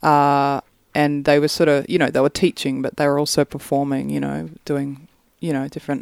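Speaking with an Australian accent, a woman uses a very deep, low pitch and a flat monotone at a moderate pace. The sound is dry and close, with no echo. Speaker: singer-songwriter. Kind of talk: casual chat.

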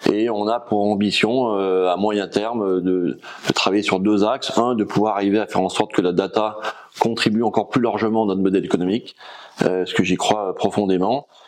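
Over noticeable background noise, a man speaks at a moderate pace in a fairly low, monotone, flat voice with very even loudness. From France, Rhône valley (Drôme/Ardèche). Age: 50s. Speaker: logistics company founder. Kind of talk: interview.

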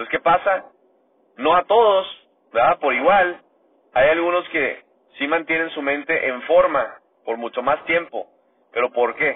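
A man with a fairly high voice and ordinary pitch variation talks fairly slowly, leaving long, frequent pauses. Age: 30s. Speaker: motivational podcaster. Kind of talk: motivational monologue. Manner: animated.

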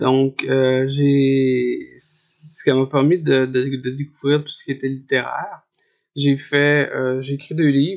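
With a monotone, flat intonation and big swings in loudness, a man speaks very slowly at a fairly high pitch. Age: 40s. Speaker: writer living with hydrocephalus. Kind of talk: testimony. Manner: halting, many repetitions and fillers.

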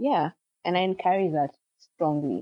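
A woman speaks with ordinary pitch variation. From Kenya. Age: 30s. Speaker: nanny and real estate entrepreneur. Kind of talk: casual interview chat.

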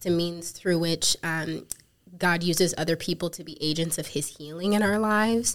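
With an American accent and a normal speaking voice, a woman with fairly low pitch talks at a moderate pace, her intonation fairly even but her loudness swinging widely. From South Africa, then Missouri from age 13. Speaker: counseling student and ministry worker. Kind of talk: podcast interview.

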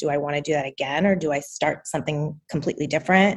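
A woman speaks at a fairly quick pace in a plain, everyday voice with ordinary pitch variation. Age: 30s. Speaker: coaching client. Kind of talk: interview. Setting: video call.

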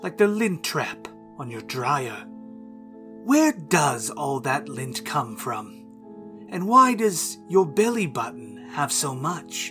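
A put-on character voice speaks at a very slow pace with a low-to-middle pitch. Clear music plays in the background. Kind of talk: campy horror host narration. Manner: playful, menacing, rambling.

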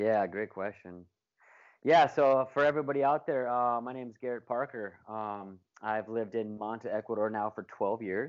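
In an ordinary speaking voice, a man holds a medium pitch while keeping a moderate pace. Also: ordinary pitch variation. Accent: American. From Alaska. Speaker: real estate agent and developer. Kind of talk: casual interview.

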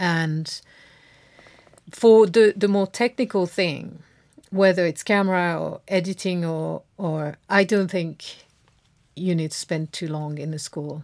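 A woman with a French accent, fairly low in pitch, at a very slow pace with long, frequent pauses and ordinary pitch variation, on a very clean recording with a silent background. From France. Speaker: video editor. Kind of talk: interview.

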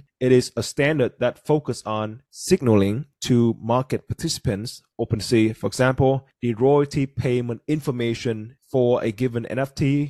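A man's medium-pitched voice with a Vietnamese accent, dark and mellow, at a moderate pace with fairly even intonation and hardly any pauses, in a dry, close sound with no echo. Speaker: podcast host. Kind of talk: casual podcast discussion.

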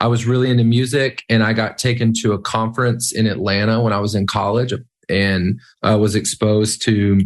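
Against a quiet background, a man with an American accent talks in a fairly low pitch with monotone, flat intonation. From small-town US. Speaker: worship leader and songwriter. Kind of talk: interview.

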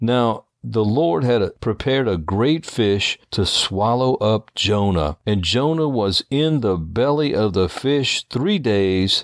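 A man at a medium pitch speaks at a very slow pace with lively intonation. The sound is dry and close with no echo, in a very clean recording against a silent background. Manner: solemn, earnest and emphatic, with theatrical, expressive pacing; fervent, preacher-like.

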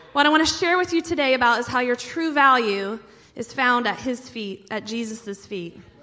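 With noticeable background noise behind her, a woman speaks in a high pitch with lively intonation and an American accent. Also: moderate pace. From US Midwest, small town. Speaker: pastor. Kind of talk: sermon.

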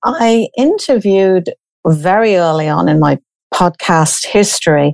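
In a British accent, a woman with a medium-pitched voice talks at a fairly slow pace with ordinary pitch variation, the sound dry and close with no echo. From Britain. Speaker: grief coach and podcast host. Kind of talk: interview.

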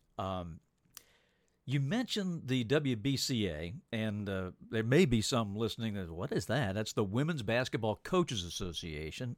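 With lively intonation and an unremarkable speaking voice, the speaker goes at a fairly slow pace in a very clean recording with a silent background. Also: man. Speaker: podcast host. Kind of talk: interview conversation.

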